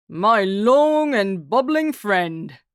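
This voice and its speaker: A fairly high-pitched, female-sounding voice is performed as a put-on character voice. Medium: read story. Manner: calm, wry.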